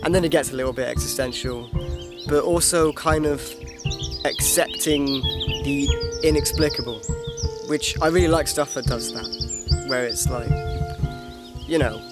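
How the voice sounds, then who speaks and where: A man at a moderate pace, with music in the background and a dry sound with no echo. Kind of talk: casual vlog chat. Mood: reflective, slightly self-mocking. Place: open country. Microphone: phone near.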